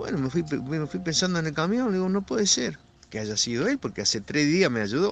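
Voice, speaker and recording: A fairly quick delivery in a Rioplatense accent, full of very wide pitch swings. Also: man. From Argentina. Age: 60s. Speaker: truck driver. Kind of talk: personal testimony. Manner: halting, with repetitions.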